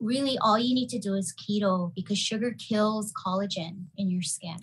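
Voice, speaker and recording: A woman speaks at a medium pitch in a somewhat breathy voice. Her intonation stays fairly even. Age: 40s. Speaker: pharmacist and keto health practitioner. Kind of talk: casual chat.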